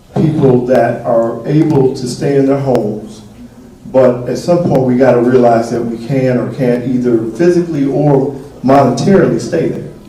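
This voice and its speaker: A man speaks at a fairly slow pace with ordinary pitch variation. There's noticeable background noise and audible room echo. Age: 60s. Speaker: mayor. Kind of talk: town hall Q&A. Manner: casual, frank.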